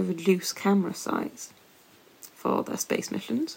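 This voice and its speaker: With a British accent, a woman speaks fairly slowly at a medium pitch. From UK. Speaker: astrophysicist and science communicator, podcast host. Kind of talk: casual chat.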